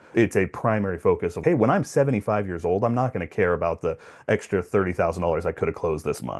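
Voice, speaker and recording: This is a normal speaking voice from a man with a fairly low pitch. He talks at a fairly quick pace against a quiet background. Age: 40s. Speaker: podcast host and real estate investor. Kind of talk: casual interview conversation.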